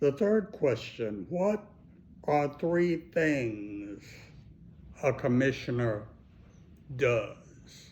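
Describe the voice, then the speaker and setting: A man with an American accent talks at a very slow pace with long, frequent pauses, very wide pitch swings and very even loudness. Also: fairly high pitch for a man. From Texas (Fort Worth). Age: 70s. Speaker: county commissioner. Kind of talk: answering interview questions for schoolchildren.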